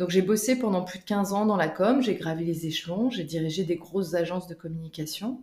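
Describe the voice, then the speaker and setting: With noticeable background noise behind her, a woman speaks at a fairly quick pace and medium pitch, with ordinary pitch variation and hardly any pauses. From Canada. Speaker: business coach. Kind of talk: interview. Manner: hesitant, many fillers.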